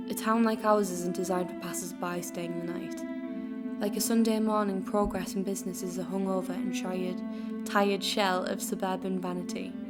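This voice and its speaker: A woman at a moderate pace with hardly any pauses, music in the background. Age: 20s. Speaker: spoken word artist. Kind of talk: spoken word poetry reading.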